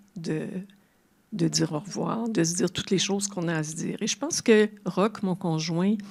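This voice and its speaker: A woman speaks at medium pitch and a fairly slow pace, with ordinary pitch variation. Her tone is dark and mellow, and somewhat breathy. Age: 70s. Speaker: retired translator and grief speaker. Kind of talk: public talk. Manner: halting.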